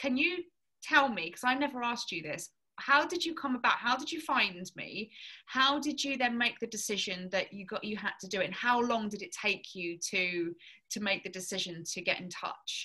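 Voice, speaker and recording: A woman with an English accent talks at a moderate pace in a fairly high, bright, sharp voice, her pitch swinging very widely and her loudness rising and falling sharply. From southern England. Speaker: fitness coach. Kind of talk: casual chat.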